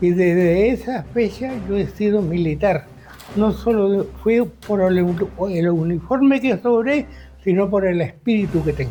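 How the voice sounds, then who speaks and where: Over noticeable background noise, a man with a high pitch speaks at a fairly slow pace, keeping very even loudness and ordinary pitch variation. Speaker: war veteran. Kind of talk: testimony. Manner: halting.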